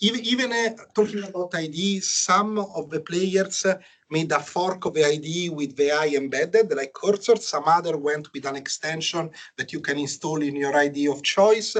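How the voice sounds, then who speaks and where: A high-pitched man with an Italian accent, a moderate pace and ordinary pitch variation. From Italy. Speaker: software engineer presenter. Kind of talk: technical talk. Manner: hesitant, many fillers.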